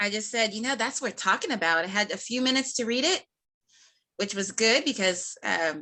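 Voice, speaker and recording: Against a quiet background, a woman talks at a fairly quick pace in a fairly high pitch, with lively intonation and a bright, sharp tone. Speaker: real estate show host. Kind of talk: casual interview chat. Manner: fast-talking; excited, energetic.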